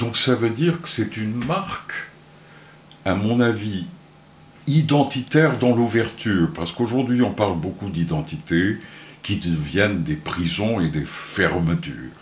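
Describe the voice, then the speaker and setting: Audible room echo surrounds a man who speaks fairly slowly with a fairly low pitch, very wide pitch swings and long, frequent pauses. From Portugal, Porto. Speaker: music centre founder. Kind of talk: radio interview. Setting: studio.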